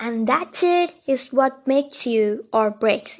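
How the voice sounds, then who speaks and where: Against a quiet background, a woman with a non-native accent speaks at a very slow pace in a high pitch. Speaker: mental health video host. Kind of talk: casual talk to camera.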